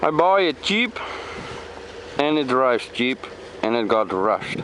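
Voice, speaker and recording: Spoken at a fairly slow pace with a Dutch accent, the clip carries noticeable background noise. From Netherlands. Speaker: car enthusiast. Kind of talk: casual walkaround video. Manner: halting.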